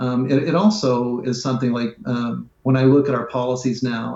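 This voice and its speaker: With a medium pitch, a man talks at a moderate pace. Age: 60s. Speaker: nonprofit CEO. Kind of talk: interview. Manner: halting, many fillers.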